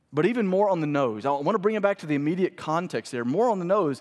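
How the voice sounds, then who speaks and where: In an American accent, the voice makes very wide pitch swings. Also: man. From Mississippi, US South. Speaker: pastor. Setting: church service with congregation. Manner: impassioned, building rhetorical cadence with repeated phrases and questions; conversational, with fillers and self-corrections.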